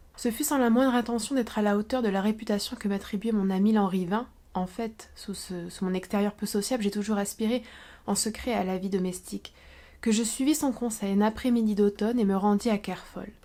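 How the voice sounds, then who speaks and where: A woman with a fairly high voice speaks at a fairly quick pace in a dark, mellow tone, recorded very cleanly against a silent background. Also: fairly even intonation. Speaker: literature teacher and booktuber. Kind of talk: read-aloud short story.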